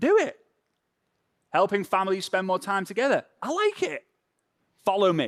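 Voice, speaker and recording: A man with a Liverpool accent, high-pitched and animated, on a very clean recording with a silent background. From northern England, Formby near Liverpool. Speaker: social media trainer. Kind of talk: workshop.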